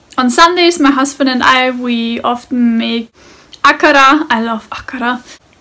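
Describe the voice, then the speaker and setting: A woman with a high pitch speaks in a German accent at a very slow pace. Her intonation is fairly even, and there is noticeable background noise. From Austria. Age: 20s. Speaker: interview guest. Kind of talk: interview monologue.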